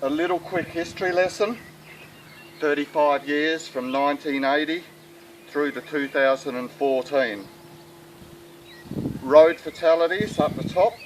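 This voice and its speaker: Against noticeable background noise, a man with an Australian accent speaks at a fairly slow pace in a fairly high pitch, with ordinary pitch variation and long, frequent pauses. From South Australia. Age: 60s. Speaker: sheep farmer. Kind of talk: appeal talk to camera. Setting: outdoors.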